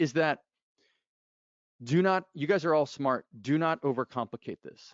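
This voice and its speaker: The man's voice rises and falls with ordinary pitch variation. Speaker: outbound sales and lead generation expert. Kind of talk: webinar presentation. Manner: fast.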